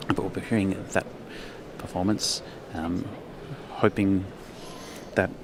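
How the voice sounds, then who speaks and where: With an Australian accent, a man talks at a moderate pace in a very deep, low pitch and a monotone, flat intonation. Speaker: livestream presenter. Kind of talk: live event commentary and interview.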